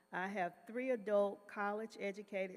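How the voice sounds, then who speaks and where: In a fairly slow delivery, a woman with a fairly high pitch and an American accent talks in a plain, everyday voice. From North Carolina, Greensboro. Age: 60s. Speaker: retired social worker. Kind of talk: testimony.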